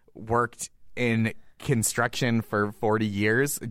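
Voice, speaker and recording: A man with an American accent, at a very slow pace. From Massachusetts, US. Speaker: comedian. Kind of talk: casual chat.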